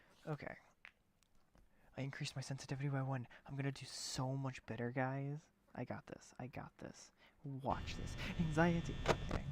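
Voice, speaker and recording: A soft-spoken voice moves at a fairly quick pace, broken by long, frequent pauses. Music plays in the background. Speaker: gaming streamer. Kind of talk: live gameplay stream. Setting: at home late at night. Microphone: low quality mic, input maxed.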